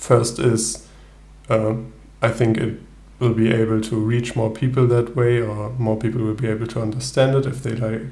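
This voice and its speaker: With a German accent, a man speaks at a fairly slow pace and a medium pitch. His intonation is fairly even, and room echo is audible. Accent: German accent (self-noted non-native English). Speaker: solo tabletop gamer, video creator. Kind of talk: casual video intro, gameplay commentary. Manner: hesitant, many fillers.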